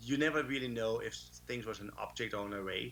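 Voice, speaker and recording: A man is speaking. He has a Danish accent. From Denmark. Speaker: conference speaker. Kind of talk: conference talk. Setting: remote talk, can't see audience. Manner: animated.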